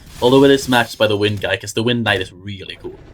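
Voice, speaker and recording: A man of medium pitch speaks with music in the background. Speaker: gaming video creator. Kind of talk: gaming tutorial.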